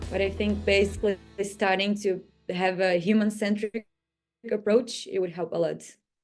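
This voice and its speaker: With music in the background, a woman at a medium pitch talks at a moderate pace with monotone, flat intonation. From Brazil. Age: 20s. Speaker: master's student and partnerships manager. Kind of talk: interview answer.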